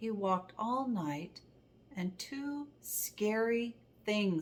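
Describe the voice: What comes through is plain reading aloud.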